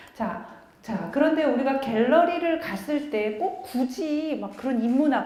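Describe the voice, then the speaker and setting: In a room with audible echo and noticeable background noise, a woman speaks at a fairly slow pace, her pitch swinging very widely. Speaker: art critic and lecturer. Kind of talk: public lecture. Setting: small lecture room with audience, using a microphone. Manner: conversational, engaging audience.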